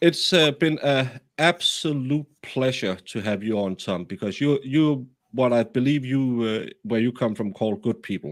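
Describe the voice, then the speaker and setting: This man has a medium pitch and a slight Danish accent. His intonation is lively. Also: moderate pace. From Denmark. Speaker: true crime streamer. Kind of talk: casual live stream chat. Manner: halting with many fillers.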